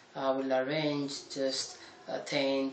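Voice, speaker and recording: A man with an Ethiopian accent speaks at medium pitch in a monotone, flat way. Audible room echo and light background noise surround his voice. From Ethiopia, Gondar. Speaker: tour guide. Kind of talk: casual talk to camera. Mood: friendly, smiling. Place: home room.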